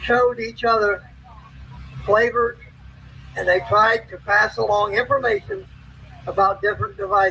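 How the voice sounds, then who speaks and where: Noticeable background noise behind a man speaking at a moderate pace, with long, frequent pauses. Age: 60s. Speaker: army veteran and former truck driver speaking at a rally. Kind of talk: prepared rally speech.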